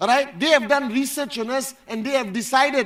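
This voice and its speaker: Loud and animated in tone, a man is speaking. He keeps a moderate pace. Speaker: motivational speaker at company event. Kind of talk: motivational speech. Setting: stage with audience.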